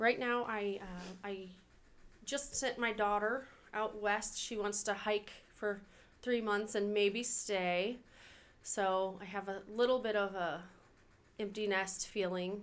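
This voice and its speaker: A woman speaks at a very slow pace with a medium pitch, fairly even intonation, and long, frequent pauses. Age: 30s. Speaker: mother. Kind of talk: testimony.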